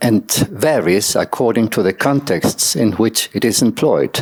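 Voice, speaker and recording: At a fairly slow pace, the speaker uses ordinary pitch variation with a non-native accent. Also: man. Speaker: academic conference speaker. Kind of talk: reading a paper aloud. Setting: conference session. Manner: formal.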